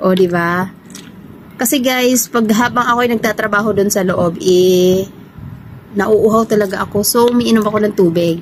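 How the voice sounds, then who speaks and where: A woman speaks in an animated tone with ordinary pitch variation and very even loudness, over noticeable background noise. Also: medium pitch for a woman, moderate pace. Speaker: vlogger, overseas domestic worker. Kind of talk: casual vlog chat. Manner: animated, chatty.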